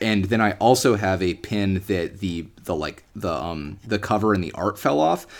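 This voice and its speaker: With hardly any pauses, a man with an American accent speaks at a moderate pace and a very deep, low pitch. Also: ordinary pitch variation. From United States. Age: 20s. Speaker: deli manager and podcast guest. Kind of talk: casual interview. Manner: hesitant, many fillers.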